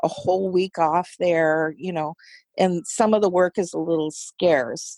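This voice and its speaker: An unremarkable speaking voice with an American accent, fairly slow and fairly even in intonation, dry and close with no echo. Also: woman, fairly low pitch for a woman. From United States. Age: 60s. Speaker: substitute teacher. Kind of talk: casual interview chat.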